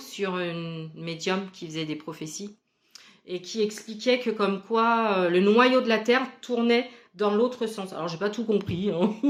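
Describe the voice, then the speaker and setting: Fairly slow female speech at a medium pitch, ordinary pitch variation, very clean recording with a silent background. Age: 40s. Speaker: spiritual medium. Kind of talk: casual vlog monologue.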